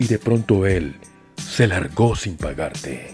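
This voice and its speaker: Over music in the background, a man speaks with a fairly low pitch and lively intonation. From Colombia. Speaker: voice actor. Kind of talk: promo intro read.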